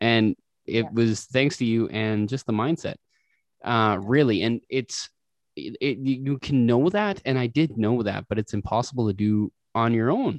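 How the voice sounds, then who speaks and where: Against a quiet background, a man with an unremarkable speaking voice and medium pitch talks at a fairly slow pace with ordinary pitch variation. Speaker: podcast host. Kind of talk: casual podcast interview.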